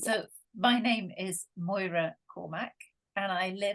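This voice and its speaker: In a Scottish accent, a woman speaks very slowly at medium pitch, her tone bright, sharp and warm. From near Edinburgh, Scotland. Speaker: podcast guest, relationship coach. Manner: warm, delighted.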